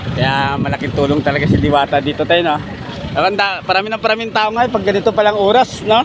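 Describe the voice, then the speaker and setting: Over noticeable background noise, a man talks at a very fast pace in a high voice with lively intonation. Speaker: vlogger interviewing street vendors. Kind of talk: casual vlog interview talk.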